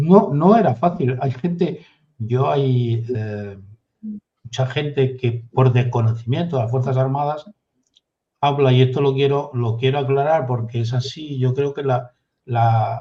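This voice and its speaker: A man speaks at medium pitch. His tone is dark and mellow, and somewhat breathy. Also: ordinary pitch variation, fairly slow pace. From Galicia, Spain (Redondela). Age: 60s. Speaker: retired navy officer. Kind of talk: interview.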